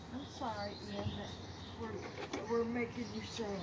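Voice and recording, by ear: Against loud background noise, a woman speaks at a fairly slow pace and a fairly high pitch, with little pitch movement.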